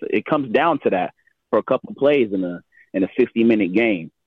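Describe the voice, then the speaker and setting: With a normal speaking voice, this man talks at a medium pitch and a moderate pace, his intonation lively. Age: 20s. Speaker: caller. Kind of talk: call-in opinion.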